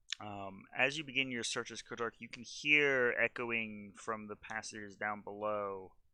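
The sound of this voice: The reading here is done in an unforced reading voice, with pitch varying in an ordinary way.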